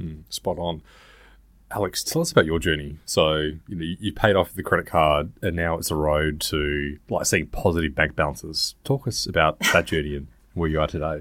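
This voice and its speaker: A man's very deep, low voice with an Australian accent, fairly even in intonation, at a moderate pace, in a very clean recording over a silent background. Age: 30s. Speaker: podcast co-host. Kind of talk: casual chat.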